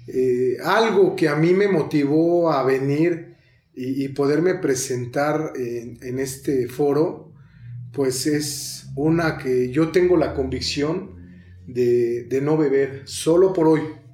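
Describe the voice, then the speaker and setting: A man with a dark, mellow tone and a fairly high pitch speaks very slowly with ordinary pitch variation, with audible room echo. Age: 30s. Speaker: recovering addict. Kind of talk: testimony. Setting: studio.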